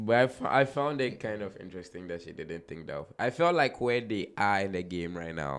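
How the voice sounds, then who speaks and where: Against a quiet background, a man with a fairly low voice makes very wide pitch swings and big swings in loudness. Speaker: podcast host and DJ. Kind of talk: casual chat.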